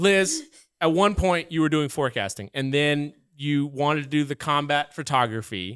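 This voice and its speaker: This is an ordinary speaking voice with an American accent. It moves at a moderate pace with ordinary pitch variation. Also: man, fairly high pitch for a man. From Oklahoma (Muskogee). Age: 30s. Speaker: podcast host. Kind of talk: casual chat. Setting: studio.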